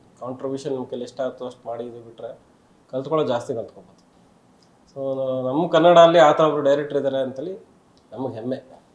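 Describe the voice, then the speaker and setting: This man has a plain, everyday voice. His pitch sits fairly high. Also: fairly even intonation. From Karnataka, rural Bangalore region (Doddaballapura area). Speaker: film director. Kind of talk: interview.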